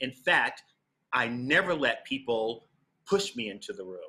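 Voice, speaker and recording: Bright and sharp in tone, a man speaks with an American accent at a medium pitch. The recording is very clean, with a silent background. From New York City (Harlem). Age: 60s. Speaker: Broadway actor. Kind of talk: master class. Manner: animated.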